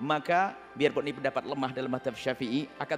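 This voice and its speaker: A man's voice with music playing in the background. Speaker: Islamic scholar giving a religious ruling. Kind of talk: religious lecture answering a question.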